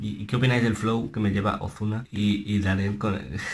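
A man talks at a fairly quick pace. His pitch is fairly low, with ordinary variation. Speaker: music reaction youtuber. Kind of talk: reaction video commentary. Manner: soft-spoken, speaking low; animated. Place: home room. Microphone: webcam.

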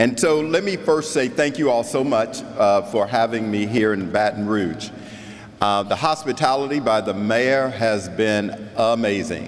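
A man's fairly slow delivery with ordinary variation in pitch. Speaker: keynote speaker. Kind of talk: keynote speech. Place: hall. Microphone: podium.

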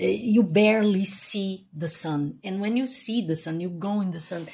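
Fairly slow speech in a Portuguese accent, with a dark, mellow tone and ordinary pitch variation. The voice is somewhat breathy. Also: woman. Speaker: YouTuber building a house. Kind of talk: casual vlog narration. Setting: outdoors at a building lot. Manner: repeats and stumbles over words. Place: open country. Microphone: phone near.

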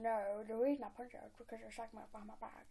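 A woman's nasal, put-on character voice, fairly high in pitch and very fast, over light background noise. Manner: mocking.

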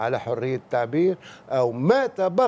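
A man with a Tunisian accent, at a fairly slow pace, with lively intonation. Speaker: political commentator. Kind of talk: TV talk show commentary. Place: studio. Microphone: lapel.

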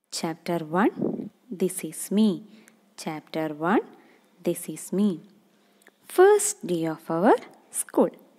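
This woman's voice has a dark, mellow tone at a medium pitch. Her pitch varies in an ordinary way. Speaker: kindergarten teacher. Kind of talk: online class lesson for young children.

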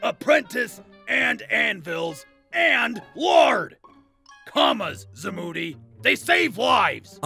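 A man talks at a very slow pace, with faint music in the background. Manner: brash, comic.

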